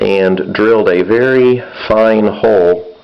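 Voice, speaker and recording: Noticeable background noise behind a man speaking with an American accent. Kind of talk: casual repair tutorial.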